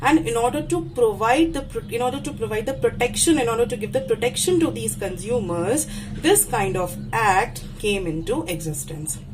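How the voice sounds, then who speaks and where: A woman talks at a moderate pace with hardly any pauses, her fairly high pitch swinging very widely. Music plays in the background, and the room echo is audible. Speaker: university lecturer. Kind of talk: lecture. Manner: halting, self-correcting.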